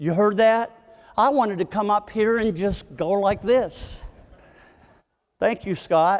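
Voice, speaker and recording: Speaking with an American accent, a man has a high pitch and ordinary pitch variation. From West Virginia. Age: 60s. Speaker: leadership speaker. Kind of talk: motivational talk to live audience. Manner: animated.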